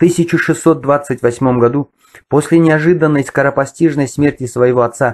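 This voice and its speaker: A man's normal speaking voice at a fairly slow pace, medium in pitch, with ordinary pitch variation. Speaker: history video blogger. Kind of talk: lecture. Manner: formal.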